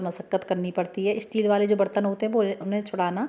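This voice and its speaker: A woman of medium pitch speaks in a dark, mellow tone with fairly even intonation. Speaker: home tips video creator. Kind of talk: tutorial. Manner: fast.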